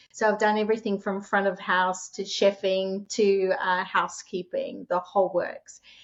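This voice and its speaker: A woman talks with an Australian accent. Her intonation stays monotone and flat. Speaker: short-term rental host and author. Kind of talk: interview.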